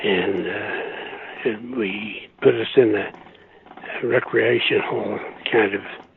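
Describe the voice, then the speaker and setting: A man does the talking here. Behind him, background noise is noticeable. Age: 80s+. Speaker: war veteran. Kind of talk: interview answer.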